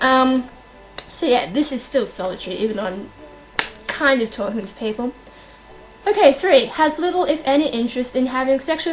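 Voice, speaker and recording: Over noticeable background noise, a woman talks at a fairly quick pace in a high pitch with lively intonation. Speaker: vlogger. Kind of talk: casual vlog talk. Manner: fast; hesitant, many fillers.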